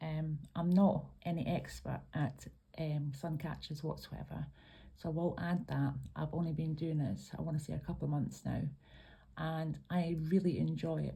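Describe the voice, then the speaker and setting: At a moderate pace, a woman speaks in a Scottish accent. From Scotland. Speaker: craft tutorial maker. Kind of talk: tutorial. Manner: hesitant, many ums.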